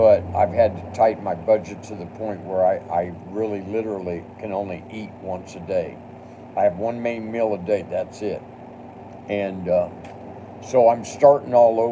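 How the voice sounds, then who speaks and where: A man's fairly low voice at a moderate pace, fairly even in intonation, with big swings in loudness and noticeable background noise. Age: 60s. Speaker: live streamer. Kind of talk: casual live stream monologue; angry rant at a commenter. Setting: home studio.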